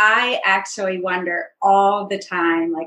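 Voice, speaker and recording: At a fairly slow pace, a woman speaks at a medium pitch in a bright, sharp tone. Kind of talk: casual interview chat.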